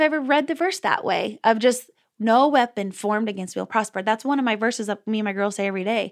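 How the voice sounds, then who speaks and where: A woman with an ordinary speaking voice and an American accent talks at a fairly quick pace, fairly high in pitch with lively intonation, on a very clean recording with a silent background. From Texas. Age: 30s. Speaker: pastor's daughter and mother. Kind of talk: interview.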